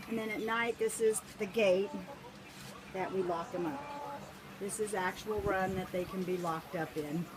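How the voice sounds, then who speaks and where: Amid noticeable background noise, the speech runs at a moderate pace with ordinary pitch variation and long, frequent pauses. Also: woman, medium pitch for a woman. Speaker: backyard chicken keeper. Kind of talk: casual video tour.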